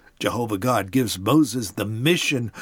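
A man's moderately paced, lively intonation in a very clean recording with a silent background. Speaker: podcast host retelling Bible stories. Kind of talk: informal scripted narration. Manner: informal storytelling.

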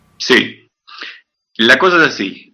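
This man speaks. Vocal fry runs through his voice. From Patagonia, Argentina. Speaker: comic artist and animator. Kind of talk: casual interview. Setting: studio, remote call.

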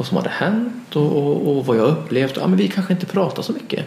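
Very fast speech with very wide pitch swings comes through audible room echo and noticeable background noise. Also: man. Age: 40s. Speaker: therapist and author. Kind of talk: interview conversation. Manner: halting, repeats words.

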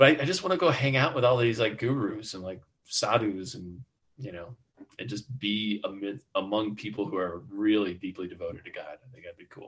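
With an American accent, an unremarkable speaking voice shows lively intonation and big swings in loudness. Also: man, fairly low pitch for a man. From US Midwest. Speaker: entrepreneur and author. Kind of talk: interview.

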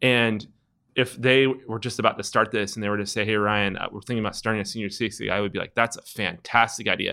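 Very fast and monotone, a man with a Californian accent speaks in a fairly low voice with a bright, sharp tone. The recording is very clean, with a silent background. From US West Coast, San Francisco Bay Area. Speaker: entrepreneur, skate shop co-founder. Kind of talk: casual interview.

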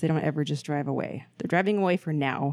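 A woman with a Pacific Northwest accent talks very fast with lively intonation, in a very clean recording with a silent background. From Portland, Oregon. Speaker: podcast host. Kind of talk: casual chat. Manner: profane, casual.

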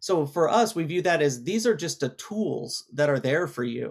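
A man speaks fairly quickly at a fairly high pitch, his intonation lively. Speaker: ad tech executive. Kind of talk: interview. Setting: virtual studio.

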